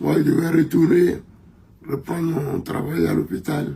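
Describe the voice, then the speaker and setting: A man talks at a very slow pace. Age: 80s+. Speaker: country doctor. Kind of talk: interview.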